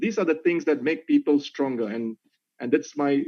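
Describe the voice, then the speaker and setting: A man with a Malaysian accent, lively intonation and a fairly quick pace. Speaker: corporate executive. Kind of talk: webinar talk.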